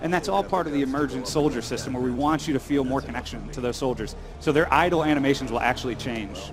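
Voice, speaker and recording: A man speaks in an enthusiastic tone at a very fast pace with hardly any pauses, his fairly high voice moving with ordinary pitch variation over background music and audible room echo. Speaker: game developer presenting their game. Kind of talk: interview with live gameplay demo. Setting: convention stage.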